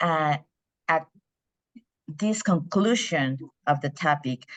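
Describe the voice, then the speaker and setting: Here a woman is talking. She speaks with a Spanish accent. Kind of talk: impromptu speech.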